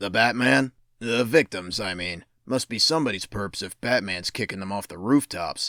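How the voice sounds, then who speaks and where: Putting on a raspy character voice, a man swings widely in loudness with lively intonation at a moderate pace and fairly low pitch, the sound dry and close with no echo. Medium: fan dub. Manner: dry, sarcastic.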